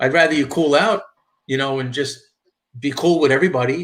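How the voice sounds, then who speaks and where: The speaker is a man with a strong New York accent. His pitch runs fairly high. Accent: thick New York. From New York, Long Island. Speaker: YouTuber, live streamer. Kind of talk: casual live stream chat. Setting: driving in a car.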